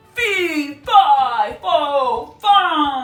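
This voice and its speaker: This is a put-on character voice pitched high. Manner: bawling.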